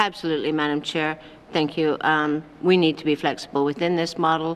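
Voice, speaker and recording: Moving at a fairly quick pace, a woman talks with a very deep, low pitch and monotone, flat intonation. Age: 60s. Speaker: territorial premier. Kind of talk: legislative committee debate. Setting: legislative chamber.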